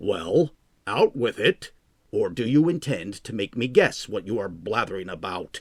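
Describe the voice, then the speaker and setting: In a raspy, put-on character voice, a man speaks at a moderate pace and medium pitch with very wide pitch swings. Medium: read story. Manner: mocking, overbearing.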